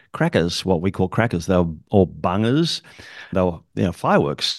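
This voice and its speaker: With an Australian accent, a man speaks at a fairly quick pace against a quiet background. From Australia (Sydney). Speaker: public speaking coach and event emcee. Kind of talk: casual interview chat.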